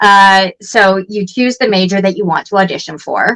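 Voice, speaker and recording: A woman talks at a moderate pace with medium pitch. She has an ordinary speaking voice. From Canada. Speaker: actress and voice actor. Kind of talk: interview answer.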